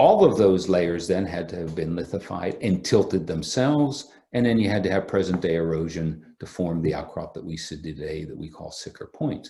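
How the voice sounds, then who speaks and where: Very deep, low-pitched man's voice with a dark, mellow tone, ordinary pitch variation, moderate pace, hardly any pauses and big swings in loudness. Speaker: geology professor. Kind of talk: lecture. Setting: remote online talk.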